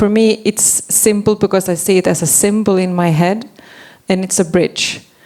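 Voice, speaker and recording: Speaking with a non-native accent, a woman talks at a fairly slow pace. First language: not English. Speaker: forest policy advocate. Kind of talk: panel discussion.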